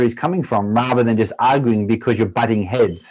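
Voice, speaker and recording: Ordinary pitch variation marks this man's speech in an Australian accent. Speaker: former pro footballer turned triathlete. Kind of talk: podcast interview.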